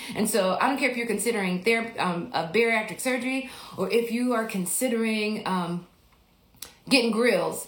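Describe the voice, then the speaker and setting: Fairly quick and fairly high-pitched, a woman speaks with ordinary pitch variation amid noticeable background noise and audible room echo. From Mississippi, US South. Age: 40s. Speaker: podcast host and life coach. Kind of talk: casual livestream Q&A. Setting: Instagram livestream.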